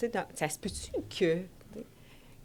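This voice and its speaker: A woman with a Quebec accent, in a very clean recording over a silent background. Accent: Québécois French. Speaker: social worker at an organization for men with violent behaviour. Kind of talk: podcast interview.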